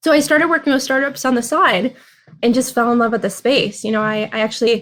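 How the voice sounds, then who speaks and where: A woman's fairly high voice with an American accent. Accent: slight Minnesota accent, comes out at times. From Minnesota, US Midwest. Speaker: venture capital investor. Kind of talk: interview.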